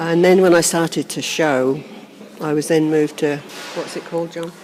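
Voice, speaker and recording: Against noticeable background noise, a woman with a Norfolk accent speaks at a fairly low pitch in a monotone with flat intonation. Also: moderate pace. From Norfolk, England. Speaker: birth mother reunited with adopted son. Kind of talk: interview testimony. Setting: seated in a cathedral.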